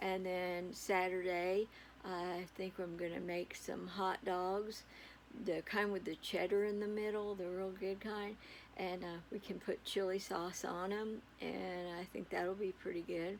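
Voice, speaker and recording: In a relaxed tone, a woman speaks fairly slowly with monotone, flat intonation. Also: medium pitch for a woman. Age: 70s. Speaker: great-grandmother. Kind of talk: casual talk to camera. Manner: relaxed, rambling with fillers.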